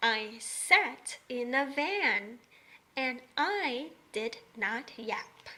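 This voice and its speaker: A female-sounding, put-on character voice at a high pitch moves at a very slow pace. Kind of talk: children's early-reader story. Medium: read story. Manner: simple, bouncy.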